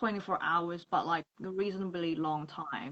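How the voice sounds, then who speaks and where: A woman with a non-native accent and ordinary pitch variation, in a dry, close sound with no echo. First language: not English. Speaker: freelance makeup artist. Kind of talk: casual interview chat. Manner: halting, searching for words.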